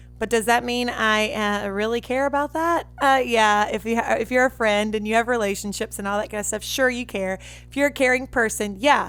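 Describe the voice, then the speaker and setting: A woman's fairly high voice in a Southern US accent, fairly quick with hardly any pauses and fairly even intonation, on a very clean recording with a silent background. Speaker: podcast host and musician. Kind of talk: casual podcast monologue.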